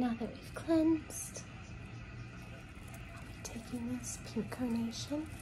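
A soft-spoken voice with big swings in loudness and long, frequent pauses, against noticeable background noise. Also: woman. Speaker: reiki and card reading ASMR creator. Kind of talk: guided reiki healing session, ASMR style. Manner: soft-spoken, slow. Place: home room. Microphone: phone near.

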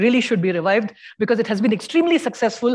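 The speech is very fast. The background is quiet. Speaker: physicist presenting a neutrino project; speaker. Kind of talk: conference talk. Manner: halting, many fillers.

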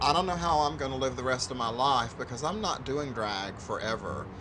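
With light background noise behind it, the voice moves at a moderate pace and has lively intonation. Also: man. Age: 40s. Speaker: reality TV patient and drag performer. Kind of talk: reality TV confessional and chat. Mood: earnest, emotional plea. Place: cafe. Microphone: lapel.

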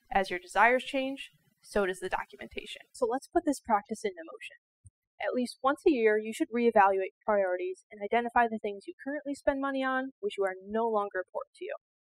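The sound is dry with no echo as a woman speaks at a fairly quick pace over a quiet background. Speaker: financial educator. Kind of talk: educational explainer to camera. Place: studio. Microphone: lapel.

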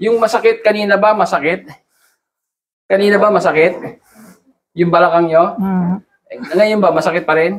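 A man's high-pitched speech with long, frequent pauses. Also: moderate pace. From Philippines. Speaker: naturopathic therapist. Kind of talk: therapy session coaching. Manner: animated. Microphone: phone near.

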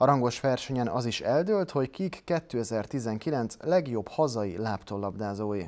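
A man speaks at a very slow pace yet with hardly any pauses. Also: lively intonation. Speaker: TV sports presenter. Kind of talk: news reading. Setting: TV studio. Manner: formal. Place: studio.

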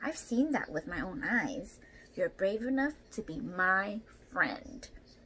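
A put-on character voice that sounds female moves at a moderate pace over light background noise and hissing. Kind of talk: children's story read-aloud with character voices. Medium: read story. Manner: confident, gentle. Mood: earnest, hopeful.

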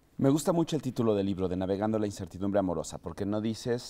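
A man with a Mexican accent, fairly low pitch, dark, mellow tone and ordinary pitch variation, set against a quiet background. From Mexico. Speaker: podcast host. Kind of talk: casual chat; scripted narration. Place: studio.

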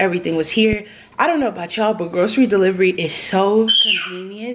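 A woman at a very fast pace with ordinary pitch variation, over loud background noise. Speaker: mom vlogger. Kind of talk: casual vlog chat. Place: kitchen. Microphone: phone near.

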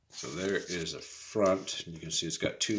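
Noticeable background noise runs through the recording. Over it, a man talks at a moderate speed. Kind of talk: tutorial. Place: workshop. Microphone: phone near.

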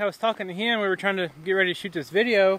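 High pitch, even for a man, from a male speaker. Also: dry sound with no echo. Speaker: farm vlogger. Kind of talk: casual vlog chat. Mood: annoyed but calm. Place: garden. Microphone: phone near.

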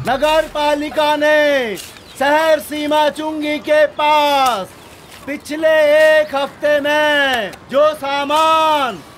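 A man's put-on character voice, resonant and extremely high in pitch, at a very slow pace amid clear background noise. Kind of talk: public proclamation. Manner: loud, declaiming, defiant.

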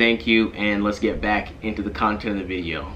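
Over light background noise, a man speaks at a moderate pace in a plain, everyday voice, fairly low in pitch with fairly even intonation. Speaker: vlogger. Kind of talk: casual vlog chat. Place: home room.

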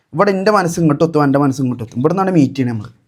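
A man is speaking. His intonation is lively. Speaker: vlogger. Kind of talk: casual vlog with magic show. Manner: animated.

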